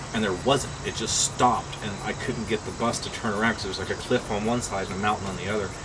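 A man rattles along very fast, with noticeable background noise behind him. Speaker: interviewee. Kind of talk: interview answer. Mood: amused storytelling. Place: bus. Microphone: camera far.

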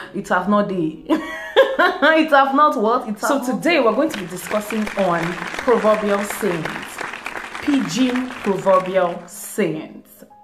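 A woman speaks very slowly at a fairly high pitch, with very wide pitch swings. Crowd noise rises in the background. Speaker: vlogger. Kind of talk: casual talk to camera. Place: home room. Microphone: phone near.

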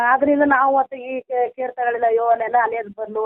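With monotone, flat intonation, a woman talks in a fairly high voice. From Karnataka, Mandya district. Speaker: caller, village woman in a loan group. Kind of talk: phone-in complaint.

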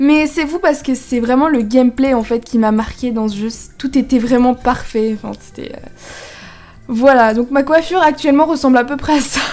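Amid noticeable background noise, a woman with a high voice talks at a moderate pace, with ordinary pitch variation and big swings in loudness. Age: young. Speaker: gaming YouTuber. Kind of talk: casual gameplay commentary.

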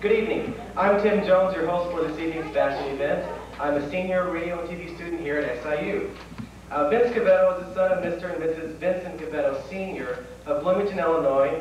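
A man's high voice, very fast, with ordinary pitch variation, in strong room echo over light background noise. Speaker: event host. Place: hall. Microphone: podium.

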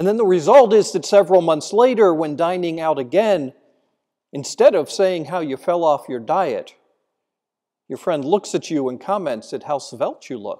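A man's solemn, high-pitched voice with a dark, mellow tone, at a moderate pace against a quiet background. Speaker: priest giving homily. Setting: church. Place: church. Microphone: podium.

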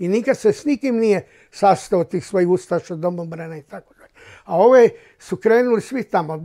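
A man with a high-pitched voice and a dark, mellow tone speaks at a moderate pace over a quiet background. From Croatia, Slavonia; Croatia. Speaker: Holocaust-era witness; witness. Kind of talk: oral history testimony. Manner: halting. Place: home room. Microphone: lapel.

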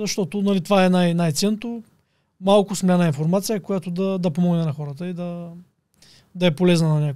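A man talks at a fairly quick pace with a high pitch and a dark, mellow tone. His intonation stays fairly even against a quiet background. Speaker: online entrepreneur and influencer. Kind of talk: casual interview. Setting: studio. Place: studio. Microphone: studio mic.

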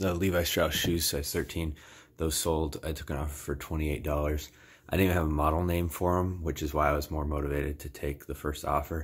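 Very fast and monotone, a man speaks with a very deep, low pitch and a somewhat breathy voice. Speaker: reseller. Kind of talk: casual vlog chat. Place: home room. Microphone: phone near.

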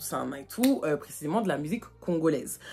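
A woman speaks in an animated tone at a moderate pace, her somewhat breathy voice carrying lively intonation. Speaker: YouTuber; vlogger. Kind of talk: storytime. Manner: casual, many fillers. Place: home room. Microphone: phone near.

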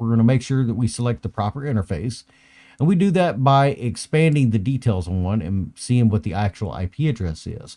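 Over a quiet background, a man talks at a fairly quick pace in a dark, mellow tone with lively intonation. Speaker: IT trainer. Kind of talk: tutorial. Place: home room.

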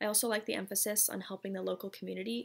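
A woman talks at a very fast pace. She speaks with an American accent. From San Diego, California; California. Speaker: grad school applicant. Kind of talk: prepared application video statement. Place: home room. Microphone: webcam.

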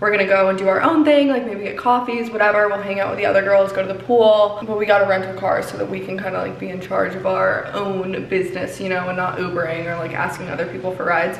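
A woman talks at a very fast pace with hardly any pauses, over light background noise and audible room echo. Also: ordinary pitch variation. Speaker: vlogger. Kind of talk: casual vlog chat. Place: bathroom. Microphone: phone near.

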